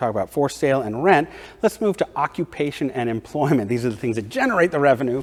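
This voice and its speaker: Speaking with an American accent, a man talks at a very fast pace with lively intonation. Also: medium pitch for a man. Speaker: presenter of community data report. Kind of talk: data presentation to audience.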